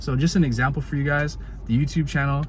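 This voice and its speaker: Fairly quick speech with audible room echo. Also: man. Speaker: motivational vlogger. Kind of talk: casual motivational monologue. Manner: fast; animated.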